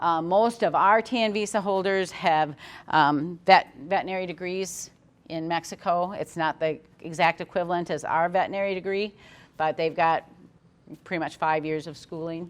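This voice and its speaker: Delivered at a moderate pace with fairly even intonation, it is a plain, everyday voice. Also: woman, fairly low pitch for a woman. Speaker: HR manager and controller at a pork farm. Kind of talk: webinar presentation.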